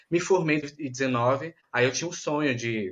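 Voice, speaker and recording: Very fast male speech in a Bahian accent. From Bahia, Brazil. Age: 20s. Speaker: medical student. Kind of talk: interview.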